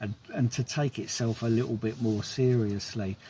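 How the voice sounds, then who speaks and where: A man speaks fairly slowly in a somewhat breathy voice with ordinary pitch variation. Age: 60s. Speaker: film reviewer vlogger. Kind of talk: casual film review monologue. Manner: hesitant with repetitions.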